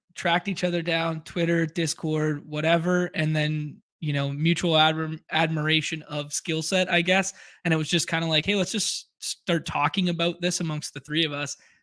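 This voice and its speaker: In a Canadian accent, a man with a fairly high pitch talks at a moderate pace in a monotone, flat way, his bright, sharp tone caught dry and close with no echo. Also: very clean recording, silent background. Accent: Canadian, noticeable. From western Canada. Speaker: fantasy football player and streamer. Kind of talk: casual interview chat. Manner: laid back.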